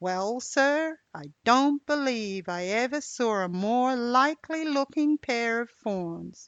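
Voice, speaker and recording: In a put-on character voice pitched high, a woman talks at a fairly slow pace with hardly any pauses. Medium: read story. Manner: folksy, grumbling.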